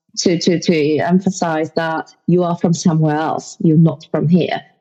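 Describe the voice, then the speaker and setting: A woman talks. Behind her, there is music in the background. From Poland. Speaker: podcast guest. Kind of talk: casual interview chat. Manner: halting, frequent fillers.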